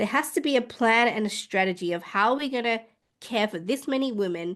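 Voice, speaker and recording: Against a quiet background, a woman with an Australian accent speaks with lively intonation. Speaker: midwife. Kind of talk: interview.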